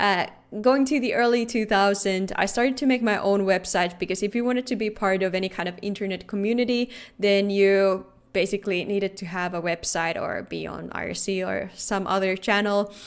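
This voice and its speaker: On a very clean recording with a silent background, a woman talks at a fairly quick pace in a Finnish accent. Her pitch is medium and her intonation fairly even. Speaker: security researcher. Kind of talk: conference talk.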